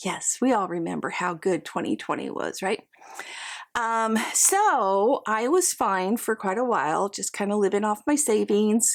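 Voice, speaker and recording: With a fairly high pitch and lively intonation, a woman speaks at a fairly slow pace. The recording is very clean, with a silent background. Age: 60s. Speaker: reseller vlogger. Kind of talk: casual vlog talk.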